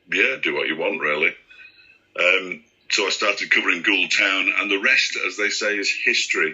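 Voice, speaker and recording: A man with a Yorkshire accent talks at a very fast pace. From East Yorkshire, England. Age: 60s. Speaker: radio sports commentator. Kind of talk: interview.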